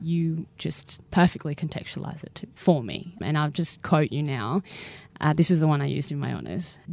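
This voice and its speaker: Talking at a fairly quick pace, a woman with an Australian accent has a very deep, low pitch and fairly even intonation. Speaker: podcast host. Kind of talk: interview.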